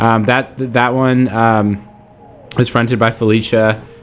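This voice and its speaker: A man's medium-pitched, enthusiastic, upbeat voice with music in the background. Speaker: radio host. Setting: radio studio broadcast. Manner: casual, enthusiastic and upbeat, with frequent fillers like um and uh; warm, chatty, gushing about songs.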